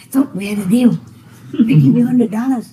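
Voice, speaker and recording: A put-on character voice that sounds female hisses along at a very fast pace. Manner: hissing.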